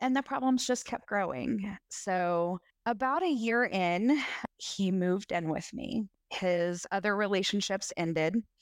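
In an American accent, a woman with an unremarkable speaking voice talks at a fairly slow pace and medium pitch, her loudness very even. The recording is very clean with a silent background and a dry, close sound with no echo. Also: lively intonation. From US South, Middle Tennessee. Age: 30s. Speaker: podcast guest sharing abuse story. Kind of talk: testimony.

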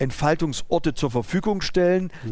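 In a very clean recording with a silent background, a man talks at moderate speed. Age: 50s. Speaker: driving school owner and entrepreneur. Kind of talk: interview. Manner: halting.

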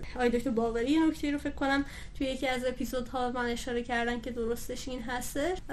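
A woman with a high pitch talks at a very fast pace in a monotone, flat intonation. There is audible room echo. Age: 20s. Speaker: dentist and dental-materials grad student, podcaster. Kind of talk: interview.

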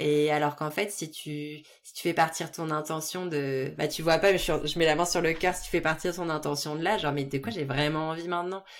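Speaking at a fairly quick pace with fairly even intonation, a woman with a very deep, low pitch comes through on a very clean recording with a silent background. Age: 30s. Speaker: restaurant business consultant. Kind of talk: casual chat.

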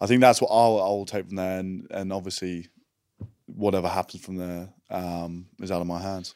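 Very deep and low, a man's voice with an Australian accent moves at a moderate pace in a monotone, flat intonation, with big swings in loudness. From Western Australia, rural coastal town. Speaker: rugby player. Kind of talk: casual chat.

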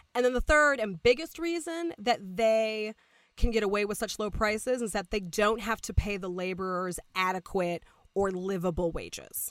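The recording is very clean, with a silent background. A woman speaks at a moderate pace in a fairly high pitch, her intonation lively. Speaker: podcast co-host. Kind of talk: casual chat. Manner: loud.

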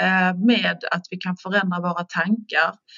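The woman speaks fairly slowly, her medium-pitched voice keeping a fairly level intonation. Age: 50s. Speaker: stress coach and personal trainer. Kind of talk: podcast interview. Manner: hesitant, filler words.

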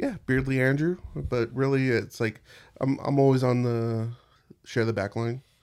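In a very clean recording with a silent background, a man with a normal speaking voice talks at a fairly slow pace, at medium pitch, with fairly even intonation. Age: 30s. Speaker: podcast host and Twitch streamer. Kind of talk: casual chat. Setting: studio.

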